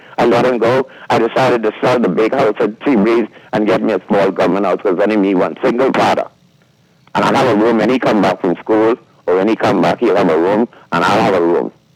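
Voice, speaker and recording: Against noticeable background noise, a man with a fairly low pitch talks at a fairly quick pace with ordinary pitch variation and very even loudness. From Bahamas. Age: 70s. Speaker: caller. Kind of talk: call-in talk show. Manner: animated.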